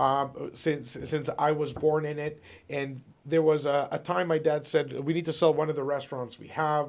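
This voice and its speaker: This is a man speaking. His voice sits at a fairly high pitch. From Ontario, Canada. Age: 40s. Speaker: real estate broker. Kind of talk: interview. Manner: hesitant, many fillers and repeats.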